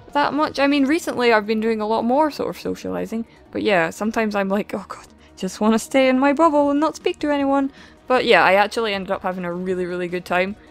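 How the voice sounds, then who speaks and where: Over music in the background, a woman with a Scottish accent speaks at a very fast pace, her fairly high voice full of lively intonation. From Scotland. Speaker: gaming vlogger. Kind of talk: casual chat. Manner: casual, rambling with fillers.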